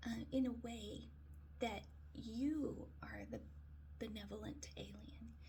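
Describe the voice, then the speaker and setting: A woman speaks softly. The room echo is audible. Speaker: daily video blogger. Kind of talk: casual monologue. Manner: soft-spoken; hesitant, many fillers.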